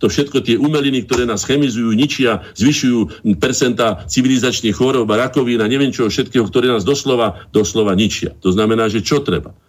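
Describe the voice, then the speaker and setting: A man rattles along at a very fast pace with a medium pitch. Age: 60s. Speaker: painter and cultural association chairman. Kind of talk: radio interview.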